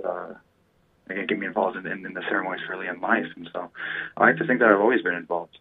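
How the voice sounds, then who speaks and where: Very deep, low-pitched male voice against light background noise. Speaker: talk show guest. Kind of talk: interview answer. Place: studio.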